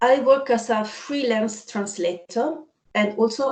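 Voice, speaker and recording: A woman talks with an Italian accent. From Italy. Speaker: freelance translator and patient representative. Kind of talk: panel discussion.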